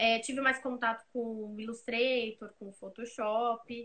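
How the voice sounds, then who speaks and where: There is music in the background. Her pace is fairly slow as a woman talks. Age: 20s. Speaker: graphic designer. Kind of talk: casual interview chat. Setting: live video stream.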